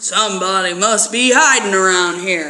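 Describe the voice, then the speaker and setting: Raspy and pitched in the middle, the put-on character voice moves at a moderate pace. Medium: read story.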